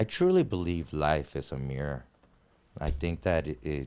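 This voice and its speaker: A man with a very deep, low pitch and a dark, mellow tone speaks at a fairly slow pace, recorded very cleanly over a silent background. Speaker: TV host and photographer. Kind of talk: casual chat.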